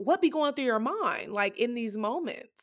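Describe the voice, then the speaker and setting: Animated and fairly slow, a woman talks in a high voice with very wide pitch swings. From Compton, Los Angeles. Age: 20s. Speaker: podcast guest. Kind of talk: casual chat.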